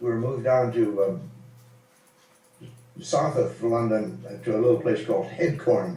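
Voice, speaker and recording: With an American accent and vocal fry, a man speaks at medium pitch and a moderate pace with ordinary pitch variation, leaving long, frequent pauses. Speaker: WWII fighter pilot veteran. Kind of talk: informal interview answer about war memories. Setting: voice call over Skype, poor recording quality. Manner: relaxed, conversational, hesitant with filler words.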